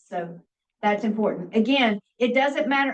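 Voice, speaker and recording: A woman talks at a moderate pace with ordinary pitch variation and a fairly high pitch. It is an ordinary speaking voice. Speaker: radiography instructor. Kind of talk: lecture.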